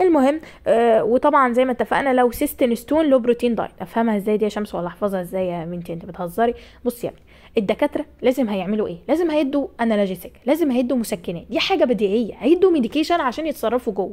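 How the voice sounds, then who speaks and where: A woman with a high, animated voice races along at a very fast pace with hardly any pauses, very wide pitch swings and big swings in loudness. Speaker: nursing tutor. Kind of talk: lecture. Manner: raises voice at times.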